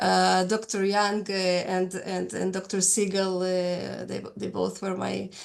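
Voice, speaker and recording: A woman speaks at a very slow pace with hardly any pauses. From Russia. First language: not English (third language). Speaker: nurse researcher. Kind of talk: webinar panel discussion. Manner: halting, many repetitions and fillers.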